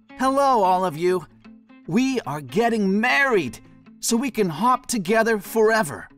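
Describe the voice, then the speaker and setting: Music plays in the background as a man speaks at a fairly slow pace. His voice is high, with lively intonation. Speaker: professional voice actor. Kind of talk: storybook narration.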